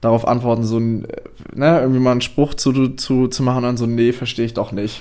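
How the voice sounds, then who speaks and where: Monotone, flat intonation marks this man's medium-pitched speech. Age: 20s. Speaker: corporate culture change specialist. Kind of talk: casual chat. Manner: halting.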